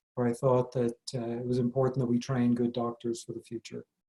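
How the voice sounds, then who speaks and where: A man with a slight Irish accent speaks in a dark, mellow tone. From Ireland. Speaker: medical school dean and professor. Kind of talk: interview.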